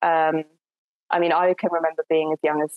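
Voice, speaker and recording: A woman's fairly low voice with music in the background. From Essex, southern England. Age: 20s. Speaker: climate activist and PhD student. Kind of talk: interview. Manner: hesitant, with frequent fillers and repetitions.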